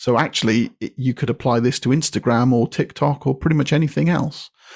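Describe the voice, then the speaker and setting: On a very clean recording with a silent background, a man with a British accent talks at a moderate pace, at a medium pitch with ordinary pitch variation. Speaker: copywriter and author. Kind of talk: podcast interview.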